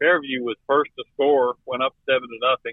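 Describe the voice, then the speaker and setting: At a fairly slow pace, a man with a fairly high pitch talks in an unremarkable speaking voice. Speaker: high school football analyst. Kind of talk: casual radio banter about scores. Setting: phone call from the road. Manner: relaxed, humorous, folksy.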